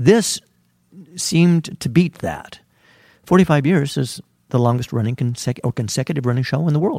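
A man with an American accent, fairly high in pitch and somewhat breathy, with a dark, mellow tone, lively intonation, a moderate pace, and long, frequent pauses, in a dry, close recording with no echo and a very clean, silent background. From California Central Valley. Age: 60s. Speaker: theater wig master. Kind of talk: interview.

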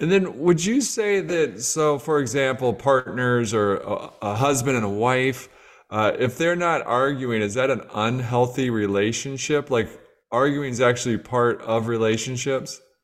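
A man with a plain, everyday voice, medium in pitch, at a fairly slow pace with ordinary pitch variation. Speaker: podcast host. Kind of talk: interview conversation.

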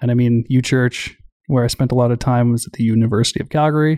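A man with an Albertan accent and medium pitch speaks at a fairly quick pace with fairly even intonation, in a dry, close sound with no echo. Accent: Canadian, Albertan. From rural Alberta, Canada. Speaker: army veteran. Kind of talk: interview.

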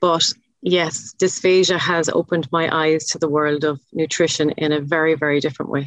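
In an Irish accent, a woman speaks at a moderate pace with a very deep, low pitch, monotone, flat intonation and very even loudness. The sound is dry and close, with no echo. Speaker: chef, podcast guest.

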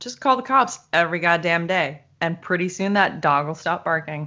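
A woman talks in an unremarkable speaking voice. Her intonation is lively. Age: middle-aged. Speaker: podcast co-host. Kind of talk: casual chat.

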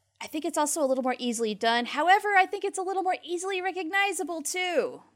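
The speech races at a very fast pace with very wide pitch swings. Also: woman. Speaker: podcast co-host. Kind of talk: casual podcast chat.

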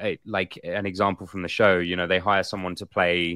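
Here a man speaks with an English accent and a bright, sharp tone. The recording is very clean and silent behind him, with a dry, close sound and no echo. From England. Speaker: actor and podcast co-host. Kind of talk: casual chat on live show. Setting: livestream with chat. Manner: animated.

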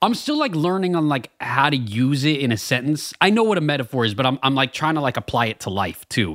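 Talking at a very fast pace with hardly any pauses, a man uses a fairly high pitch and very wide pitch swings. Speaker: podcast co-host. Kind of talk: casual chat.

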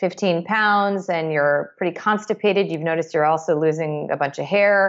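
At a moderate pace, a woman with a fairly low pitch and ordinary pitch variation speaks in a normal speaking voice. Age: 30s. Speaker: psychiatrist. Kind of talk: interview.

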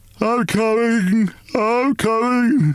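A put-on character voice performs the lines. It stays fairly high in pitch. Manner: slow, sleepy wail.

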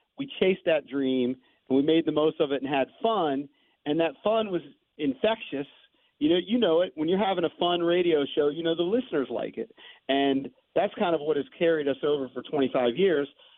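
In an unremarkable speaking voice, a man talks at a moderate pace with a fairly high pitch. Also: ordinary pitch variation. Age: 50s. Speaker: morning sports radio host and author. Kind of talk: casual interview. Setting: guest line into radio studio.

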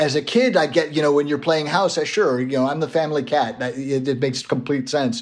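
Over noticeable background noise, a man with a fairly high pitch talks at a fairly quick pace with hardly any pauses. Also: ordinary pitch variation. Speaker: writer. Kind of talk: casual interview. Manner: self-deprecating, halting.

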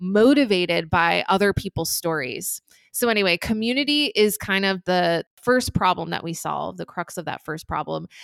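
With a normal speaking voice and an American accent, a woman talks at a moderate pace and medium pitch on a very clean recording with a silent background. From New Jersey. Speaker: entrepreneur. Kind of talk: interview.

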